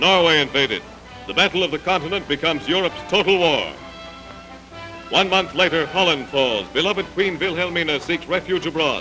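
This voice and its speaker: Music plays behind a man with a high pitch and a dramatic tone. He moves at a fairly quick pace with ordinary pitch variation. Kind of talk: newsreel narration. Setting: archival newsreel soundtrack. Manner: urgent, dramatic, declamatory.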